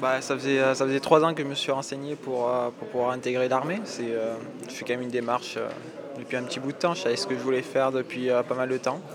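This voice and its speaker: Amid noticeable background noise and audible room echo, a man talks very fast at a medium pitch with fairly even intonation. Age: young. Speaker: army recruit. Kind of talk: interview.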